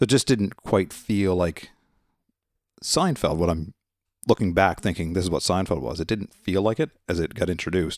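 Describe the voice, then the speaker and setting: Very clean recording with a silent background and a dry, close sound with no echo, a man's very deep, low voice, ordinary pitch variation and a moderate pace. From Nova Scotia, Canada. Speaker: podcast co-host, paramedic. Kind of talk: casual chat.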